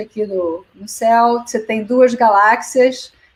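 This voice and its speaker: This woman has a fairly high pitch. She talks at a very slow pace. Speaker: physics professor. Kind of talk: lecture. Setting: video call.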